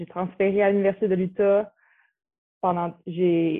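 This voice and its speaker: At a fairly slow pace, a woman speaks at medium pitch with monotone, flat intonation. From Quebec, Repentigny. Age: 20s. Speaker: college basketball player. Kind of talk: interview. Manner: halting.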